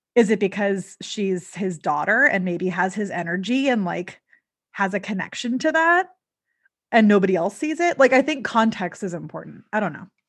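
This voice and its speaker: A woman with an American accent and a normal speaking voice, medium pitch, lively intonation and a moderate pace, against a quiet background. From Southern California. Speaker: podcast co-host and makeup artist. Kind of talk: casual chat.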